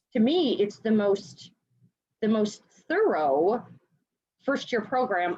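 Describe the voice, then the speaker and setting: A woman speaks with a Chicago accent. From US Midwest, Chicago. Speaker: education sales partner. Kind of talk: interview. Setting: video call.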